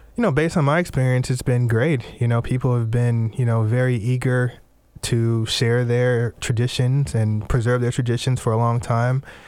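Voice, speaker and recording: A man with a normal speaking voice talks at a moderate pace and medium pitch. His intonation is fairly even and his loudness very even. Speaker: folklorist, cultural program director. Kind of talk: radio interview.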